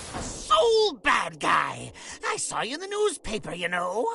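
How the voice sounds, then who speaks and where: Using a put-on character voice, the speaker talks in a high pitch at a fairly slow pace. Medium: video game. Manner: brash, mocking.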